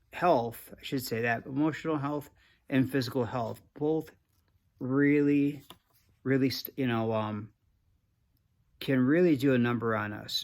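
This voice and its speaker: A man at medium pitch with fairly even intonation, a fairly slow pace and long, frequent pauses, on a very clean recording with a silent background. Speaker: creativity coach. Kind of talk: casual motivational talk to camera. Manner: halting, many restarts and fillers.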